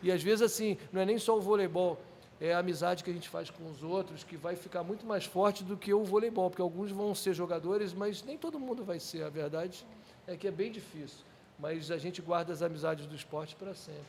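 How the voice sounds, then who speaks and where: Over noticeable background noise, a high-pitched man talks at a fairly quick pace with ordinary pitch variation. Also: big swings in loudness. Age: 60s. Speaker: sports project manager, former volleyball player. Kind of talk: podcast interview.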